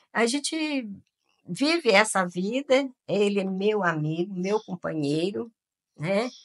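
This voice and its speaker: A woman's very slow delivery with very wide pitch swings. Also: medium pitch for a woman. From Minas Gerais, Brazil. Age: 70s. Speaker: retired educator. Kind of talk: interview. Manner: animated.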